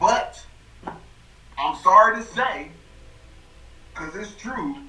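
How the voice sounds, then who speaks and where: Over noticeable background noise, a man projects a raised voice with lively intonation. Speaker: podcast co-host. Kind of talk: casual chat. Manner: animated.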